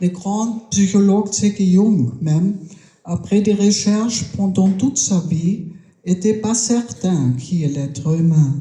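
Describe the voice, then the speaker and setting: A woman's medium-pitched voice with a German accent, very slow pace and lively intonation, amid noticeable background noise and audible room echo. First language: German (speaking French). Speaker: round-table panelist. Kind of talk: round-table talk. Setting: stage with audience at a festival. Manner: hesitant.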